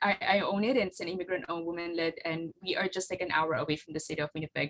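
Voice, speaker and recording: The speaker is a woman with a Filipino accent. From Philippines. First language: Tagalog. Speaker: flower farmer and business owner. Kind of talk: presentation with slides. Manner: halting, many fillers.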